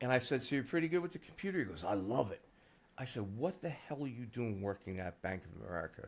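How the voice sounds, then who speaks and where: Speaking very fast at a medium pitch, the man's voice has vocal fry and very wide pitch swings. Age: 60s. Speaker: SEO agency founder. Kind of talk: interview conversation. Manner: casual, filler-heavy.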